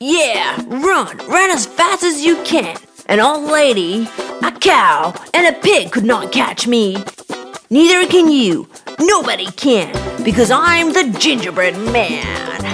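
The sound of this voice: A cartoonish character voice, slow, fairly bright in tone, with big pitch swings and faint music in the background. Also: woman, fairly high pitch for a woman.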